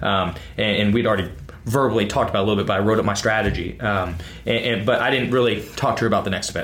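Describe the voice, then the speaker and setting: A man at a very fast pace with fairly even intonation, over noticeable background noise. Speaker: podcast co-host and CrossFit coach. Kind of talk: casual chat. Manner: loud.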